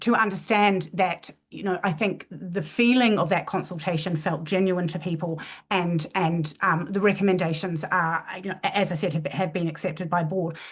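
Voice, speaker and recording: Over a quiet background, a woman with a somewhat breathy, fairly low voice speaks with fairly even intonation and hardly any pauses. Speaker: university leader. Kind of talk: panel discussion. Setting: online event. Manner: fast; halting, many false starts.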